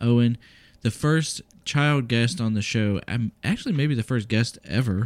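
A man speaks fairly slowly in a plain, everyday voice at a medium pitch with ordinary pitch variation. The recording is very clean with a silent background. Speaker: podcast co-host, parent. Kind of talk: casual family chat, taste test.

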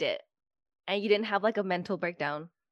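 Recorded very cleanly against a silent background, a woman with an unremarkable speaking voice and medium pitch talks at a fairly quick pace, the sound dry and close with no echo. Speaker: podcast host, hairstylist. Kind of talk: casual chat.

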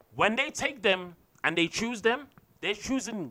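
A man speaks in a raised, projected voice with a bright, sharp tone. His pace is fairly slow and his intonation lively. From England.

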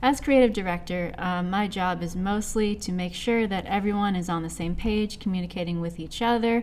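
A woman speaks at a moderate pace and medium pitch, with ordinary pitch variation and hardly any pauses, in audible room echo. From US Pacific Northwest (Seattle, Washington). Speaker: creative director of an animation project, comic artist. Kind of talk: casual podcast interview.

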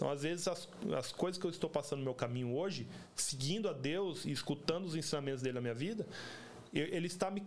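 Over noticeable background noise, a man speaks at a fairly quick pace. His pitch varies in an ordinary way. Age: 30s. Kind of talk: casual religious chat.

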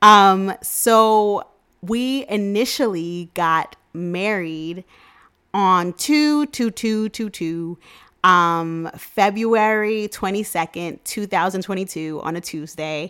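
In a New York accent, a woman speaks at a very slow pace with a medium pitch and ordinary pitch variation, her tone upbeat as well as bright and sharp. The recording is very clean, with a silent background. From New York City (Queens), Jamaican parents. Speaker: podcast host and travel agent. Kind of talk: casual solo podcast monologue. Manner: upbeat, chatty.

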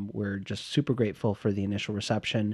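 A man with an American accent speaks at a fairly quick pace and fairly low pitch in a plain, everyday voice. The sound is dry and close with no echo, against a quiet background. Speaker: podcast co-host. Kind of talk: casual chat, comedic banter.

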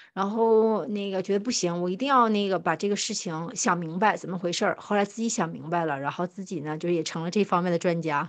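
A woman talks at a fairly quick pace with hardly any pauses, in a normal speaking voice. Her pitch is medium, with ordinary pitch variation. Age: 30s. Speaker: podcast co-host. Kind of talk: casual chat.

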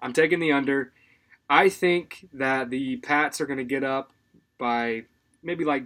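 A man with an unremarkable speaking voice talks at a fairly slow pace. His pitch is fairly high and his intonation fairly even. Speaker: sports betting podcast co-host. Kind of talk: casual chat.

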